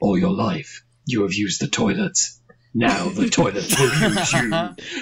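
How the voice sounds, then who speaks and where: A man in a put-on character voice, fairly high-pitched, with very wide pitch swings and a fairly slow pace. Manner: menacing, creepy.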